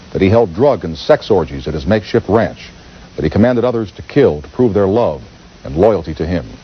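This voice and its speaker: Pitch swings very widely at a fairly quick pace, with noticeable background noise behind the voice. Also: man. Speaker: TV talk show host. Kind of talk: TV documentary narration.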